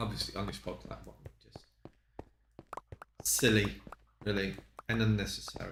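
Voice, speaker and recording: The room echo is audible and the background noise is noticeable. A man talks at a moderate pace. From Poland. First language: Polish. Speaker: streamer. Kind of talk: casual gameplay commentary.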